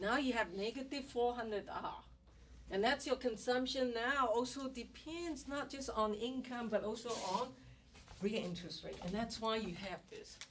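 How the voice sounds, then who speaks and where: A woman with a high pitch speaks at a moderate pace, her pitch varying in an ordinary way. Noticeable background noise and audible room echo fill the recording. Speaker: economics professor. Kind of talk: lecture.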